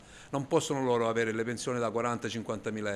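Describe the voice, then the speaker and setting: A man at medium pitch over light background noise. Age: 50s. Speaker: business owner, baker. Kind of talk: street interview. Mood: angry, frustrated. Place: shop. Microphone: handheld.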